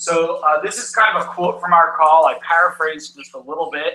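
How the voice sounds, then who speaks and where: A man speaks at a moderate pace in a high voice. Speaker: patient services social worker. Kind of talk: conference talk. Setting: stage with audience.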